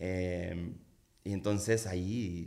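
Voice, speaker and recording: His tone is dark and mellow. The man's pitch shows ordinary variation. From Mexico, Culiacán, Sinaloa. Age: 40s. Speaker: singer-songwriter. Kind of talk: casual interview chat.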